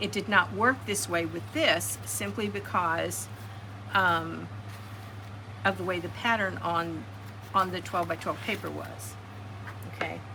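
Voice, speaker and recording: With an American accent, a woman talks at a fairly slow pace with long, frequent pauses, while music plays in the background and the room echo is audible. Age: 70s. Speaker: card-making crafter. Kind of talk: craft tutorial. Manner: halting, many fillers.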